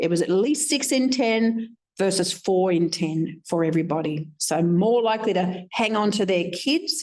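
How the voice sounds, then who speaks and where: In an ordinary speaking voice, a woman of medium pitch talks at a moderate pace with lively intonation, very even loudness and hardly any pauses. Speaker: researcher presenting findings. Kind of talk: conference presentation.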